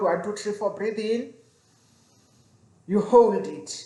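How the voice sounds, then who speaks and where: A woman speaks at medium pitch with audible room echo. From South Africa. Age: 40s. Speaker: vlogger. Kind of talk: casual vlog talk. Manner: halting, with repetitions.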